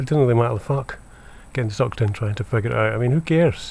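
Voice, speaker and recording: A man talks very fast at a medium pitch. His voice has a dark, mellow tone and is somewhat breathy. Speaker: vlogger. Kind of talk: monologue rant to camera. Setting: indoors at home by window. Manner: halting, many fillers and repeats.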